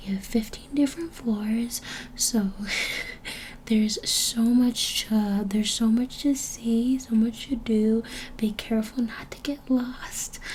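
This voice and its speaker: Soft-spoken and fairly high in pitch, a woman talks at a very slow pace with fairly even intonation over noticeable background noise. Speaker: ASMR creator. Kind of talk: ASMR hotel check-in roleplay.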